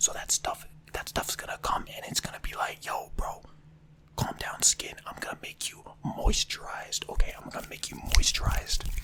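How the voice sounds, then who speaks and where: A whispering voice, moderately paced, comes through noticeable background noise. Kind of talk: ASMR role play, over-explaining simple objects to the listener. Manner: casual, chatty, with filler words and repetition.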